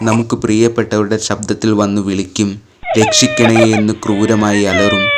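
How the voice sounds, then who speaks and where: A man at a fairly low pitch, with noticeable background noise. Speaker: storyteller. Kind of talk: horror story narration.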